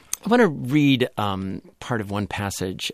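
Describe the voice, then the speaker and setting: In a very clean recording with a silent background, a man speaks in an unremarkable speaking voice at a fairly low pitch and a fairly slow pace, with ordinary pitch variation and a dry, close sound with no echo. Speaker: radio host. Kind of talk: radio interview. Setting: studio.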